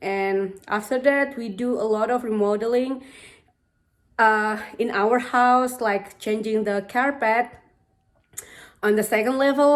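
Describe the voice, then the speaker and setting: Intonation stays fairly even at a fairly slow pace. Long pauses come often. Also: woman. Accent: Indonesian. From Indonesia. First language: Indonesian. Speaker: home renovation vlogger. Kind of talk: casual vlog narration.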